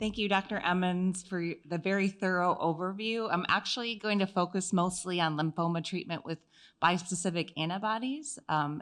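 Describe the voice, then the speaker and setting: With a slight Wisconsin accent, a woman speaks at a moderate pace and medium pitch, her pitch variation ordinary, over a quiet background. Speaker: oncology pharmacist. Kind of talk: medical conference lecture. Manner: halting with frequent fillers.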